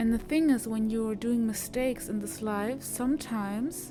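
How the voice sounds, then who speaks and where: A woman with a non-native accent talks at a fairly slow pace. Music sits in the background. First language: not English. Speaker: self-improvement content creator. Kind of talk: casual motivational talk, voice-over without face.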